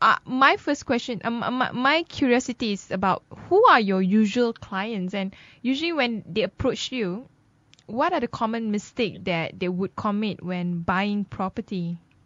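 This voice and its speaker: Lively intonation marks this woman's fairly high-pitched delivery at a moderate pace. It is an ordinary speaking voice. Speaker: radio host. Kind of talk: radio talk show.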